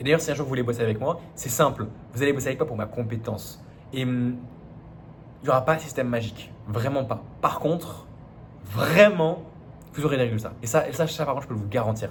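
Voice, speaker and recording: At a fairly quick pace but with long, frequent pauses, a man speaks with ordinary pitch variation in a room with audible echo. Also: medium pitch for a man. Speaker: business coach. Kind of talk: business advice monologue. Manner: fast; casual, many fillers and restarts.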